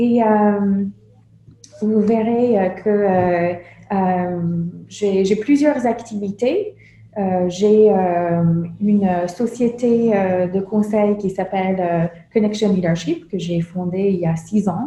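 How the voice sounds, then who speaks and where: Very slow, somewhat breathy speech with a dark, mellow tone and ordinary pitch variation. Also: woman, medium pitch for a woman. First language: English (speaking French). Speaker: meditation instructor and consultant. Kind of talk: lecture. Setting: conference with audience. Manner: halting, many hesitations.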